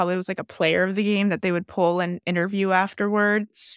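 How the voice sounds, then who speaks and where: A woman with an ordinary speaking voice uses fairly even intonation in a very clean recording with a silent background. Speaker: podcast co-host, former softball pitcher, psychology student. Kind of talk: casual chat.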